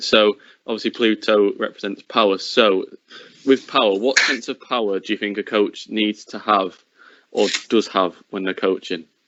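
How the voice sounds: Speaking at a moderate pace, a man has a fairly low pitch and a fairly bright tone. His intonation stays fairly even.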